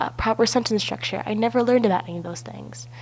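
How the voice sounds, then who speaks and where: Noticeable background noise surrounds the voice of a woman. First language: not English. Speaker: university student. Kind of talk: personal narrative video essay.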